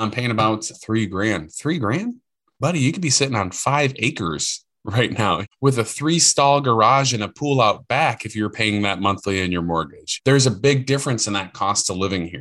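The voice has a bright, sharp tone and an American accent. It runs with hardly any pauses against a quiet background. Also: man, medium pitch for a man, lively intonation, moderate pace. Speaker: corporate recruiter. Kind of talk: interview conversation. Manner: animated.

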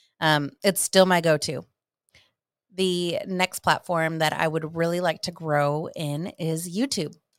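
An ordinary speaking voice with an American accent talks at a fairly slow pace. The intonation is fairly even, and the recording is very clean with a silent background. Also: woman, fairly low pitch for a woman. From Ohio. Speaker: realtor. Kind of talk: casual interview.

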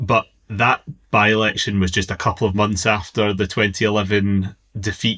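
A man with a fairly low pitch speaks in a bright, sharp tone. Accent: west of Scotland. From Scotland, Inverclyde. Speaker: former political advisor. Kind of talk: casual interview chat.

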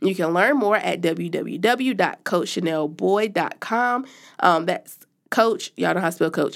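In a very clean recording with a silent background, a woman at a medium pitch talks at a fairly slow pace with an animated tone, lively intonation, and vocal fry. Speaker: podcast co-host. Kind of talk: casual chat. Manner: animated, laughs often.

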